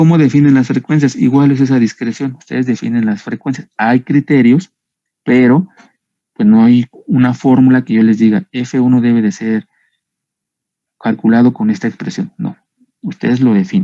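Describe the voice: The tone is dark and mellow, with fairly even intonation at a moderate pace. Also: man, medium pitch for a man.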